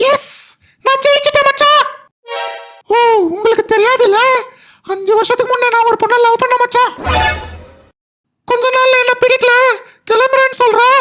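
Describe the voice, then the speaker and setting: A cartoonish character voice carries the clip. Music plays in the background. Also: moderate pace. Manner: eager, chatty.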